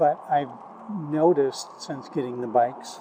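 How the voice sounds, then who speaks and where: A man talks slowly, at a fairly slow pace with fairly even intonation, amid noticeable background noise. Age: 60s. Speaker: war veteran. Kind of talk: casual vlog monologue. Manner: halting, many fillers.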